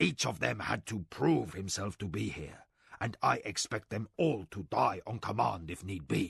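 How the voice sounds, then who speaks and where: Growling through a put-on character voice with very wide pitch swings, the speaker keeps a moderate pace, recorded dry and close with no echo over a quiet background. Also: man, very deep, low pitch for a man. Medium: read story. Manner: steady, soldierly.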